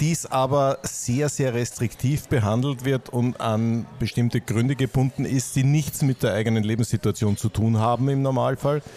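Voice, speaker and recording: Noticeable background noise under a man's voice at a medium pitch. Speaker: podcast host. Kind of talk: interview. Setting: Viennese coffee house with background noise.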